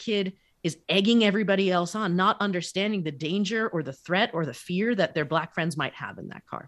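In an unremarkable speaking voice, a woman talks at medium pitch and a moderate speed, with ordinary pitch variation. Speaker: life coach, author, podcast co-host. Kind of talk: casual interview chat.

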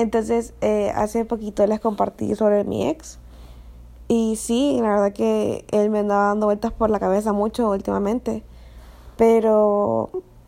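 A woman talks at a fairly slow pace, her loudness very even throughout. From Honduras. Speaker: podcaster. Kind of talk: casual monologue.

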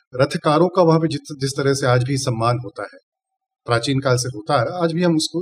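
With a non-native accent, a man speaks somewhat breathily at a fairly high pitch and moderate pace, with ordinary pitch variation. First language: not Hindi (speaking Hindi). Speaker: chemistry professor. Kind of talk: interview. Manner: formal.

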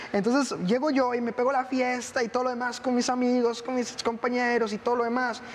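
With hardly any pauses, a man speaks at a fairly quick pace in a flat monotone at an extremely high pitch, over noticeable background noise. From Costa Rica. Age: 20s. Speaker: missionary and pastor. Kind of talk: testimony.

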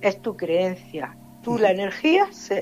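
A woman talks at a medium pitch against noticeable background noise. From Granada, Andalusia. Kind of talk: casual interview.

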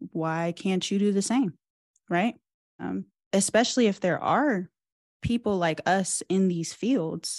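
Using lively intonation at a fairly slow pace, a woman with an American accent speaks at a medium pitch in a dry, close sound with no echo. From US Midwest, Cincinnati area. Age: 20s. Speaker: PhD student in engineering education. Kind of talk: interview.

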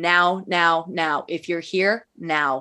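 A woman speaks at a very slow pace with fairly even intonation. Her fairly low pitch has a bright, sharp tone. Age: 30s. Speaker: widow sharing grief journey. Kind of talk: casual chat.

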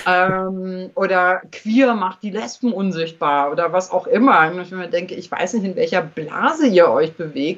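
A woman uses an ordinary speaking voice at a medium pitch. Her pace is fairly slow. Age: 50s. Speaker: journalist and author. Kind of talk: casual interview. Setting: remote call via Skype.

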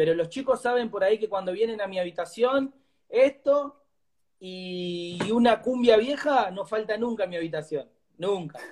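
This man's high voice moves at a moderate pace, its pitch rising and falling in an ordinary way. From Argentina, Greater Buenos Aires (La Matanza). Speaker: cumbia singer and former footballer. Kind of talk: casual interview.

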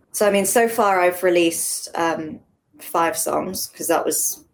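A woman's fairly low voice with an English accent. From England. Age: 20s. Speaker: singer-songwriter. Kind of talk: interview.

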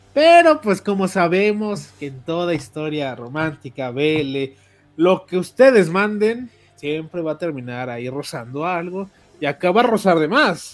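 A man with a high pitch and an animated tone talks at a fairly slow pace, with lively intonation and big swings in loudness. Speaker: podcast host. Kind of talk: casual chat.

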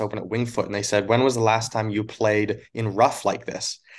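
In a Canadian accent, a man talks in a normal speaking voice at medium pitch and moderate pace, with fairly even intonation over a quiet background. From Canada (Alberta). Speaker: college golf coach. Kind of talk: casual interview.

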